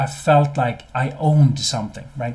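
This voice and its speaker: A man's fairly high, somewhat breathy voice with a dark, mellow tone, ordinary pitch variation, and a non-native accent. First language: not English. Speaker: business consultant and CEO. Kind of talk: webinar presentation. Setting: live webinar. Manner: hesitant, many repeated words.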